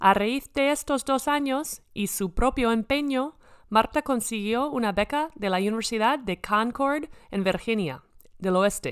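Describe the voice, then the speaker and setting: In an English accent, a woman speaks fairly slowly at a fairly high pitch with ordinary pitch variation, on a very clean recording with a silent background. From US Midwest, Minnesota. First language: English (speaking Spanish). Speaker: podcast host, former basketball player. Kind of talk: scripted narration; interview. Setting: on location in a sports venue.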